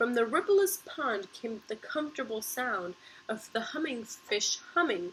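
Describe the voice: The speaker does a plain reading aloud with lively intonation.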